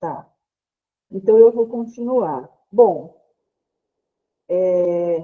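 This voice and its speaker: A woman speaks with a dark, mellow tone. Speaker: librarian, trainer. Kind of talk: online training lecture.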